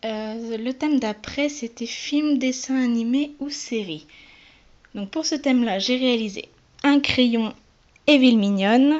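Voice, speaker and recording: A woman speaks at a high pitch and a very slow pace, with ordinary pitch variation. Long pauses come often. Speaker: polymer clay crafter. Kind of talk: casual crafts presentation to camera.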